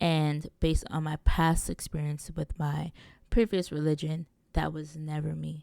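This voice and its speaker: With a very deep, low pitch and a dark, mellow tone, a woman speaks at a fairly slow pace in a monotone, flat intonation, her loudness swinging widely in a dry, close sound with no echo. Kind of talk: solo podcast monologue. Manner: casual, conversational.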